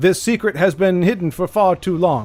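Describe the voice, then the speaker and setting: A man's put-on robotic character voice in a British accent, high-pitched, at a moderate pace, with faint music in the background. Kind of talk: salesy hype.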